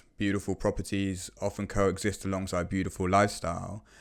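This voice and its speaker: A man with a British accent, fairly low-pitched, at a moderate pace, in a very clean recording with a silent background. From UK. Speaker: podcast host, property investment. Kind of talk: podcast conversation.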